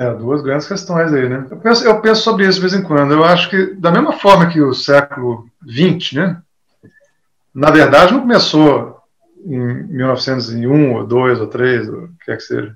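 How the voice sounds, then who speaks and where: This man talks at a fairly slow pace in a fairly high pitch, with very wide pitch swings and big swings in loudness. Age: 60s. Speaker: guitar teacher. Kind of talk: interview. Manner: casual, conversational.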